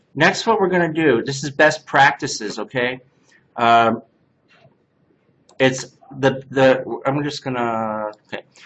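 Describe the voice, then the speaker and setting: A man's medium-pitched voice at a very slow pace. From Canada. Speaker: CNC workshop instructor. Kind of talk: hands-on software class.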